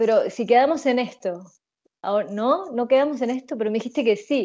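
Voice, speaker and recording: This woman's tone is dark and mellow, with a Rioplatense accent. Her pitch varies in an ordinary way against a quiet background. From Uruguay. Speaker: interviewee, expatriate. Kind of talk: interview answers. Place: home room. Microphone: earbuds.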